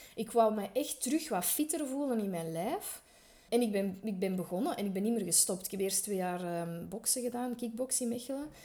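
A woman's fairly high-pitched, dark, mellow voice at a fairly quick pace, with lively intonation. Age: 40s. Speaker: fashion sector worker. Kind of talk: interview. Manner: hesitant, many fillers.

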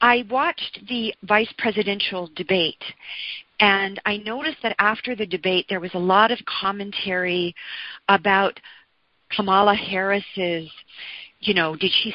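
Pausing long and often, a woman talks at a fairly slow pace in a medium pitch with ordinary pitch variation. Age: 60s. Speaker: blogger and author. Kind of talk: interview conversation.

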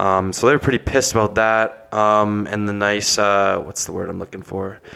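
With a bright, sharp tone, a man speaks at fairly low pitch and a fairly quick pace, his intonation fairly even. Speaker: podcast co-host. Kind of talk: casual chat.

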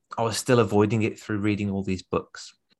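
This is a man with a fairly low pitch. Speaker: public speaking coach. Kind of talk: interview conversation.

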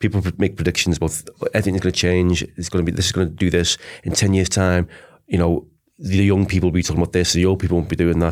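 In a Liverpool accent, a man with a very deep, low pitch talks very fast and in a monotone, flat way, in a very clean recording with a silent background. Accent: Scouse. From Liverpool, England. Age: 40s. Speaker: advertising lecturer, former creative director. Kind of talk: casual debate interview.

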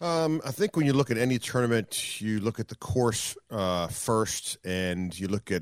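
Here is an ordinary speaking voice: a man at a fairly low pitch, talking at a fairly slow pace with lively intonation. The recording is very clean with a silent background, and the sound is dry and close with no echo. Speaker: sports play-by-play announcer. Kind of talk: casual chat.

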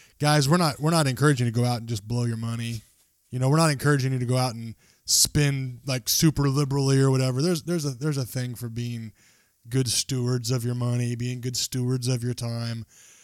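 Very fast speech comes from a man. His intonation is fairly even, and his voice sits at a medium pitch. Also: very clean recording, silent background. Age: 30s. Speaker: podcast host. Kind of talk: casual chat.

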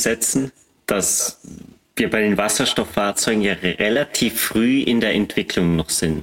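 At a fairly slow pace, an ordinary speaking voice talks with ordinary pitch variation. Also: man. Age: 30s. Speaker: battery test engineer and podcaster. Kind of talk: casual expert discussion.

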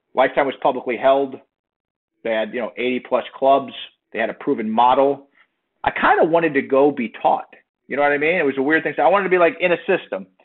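A man with an American accent speaks very fast at a fairly high pitch, with ordinary pitch variation. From South Florida. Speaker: company founder. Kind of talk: interview.

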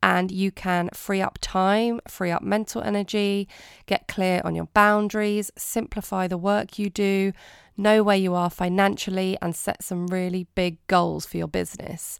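Over a silent background in a very clean recording, the speaker talks at a fairly slow pace with monotone, flat intonation. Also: woman, medium pitch for a woman. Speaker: podcast host and business coach. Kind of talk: solo podcast monologue. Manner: nervous.

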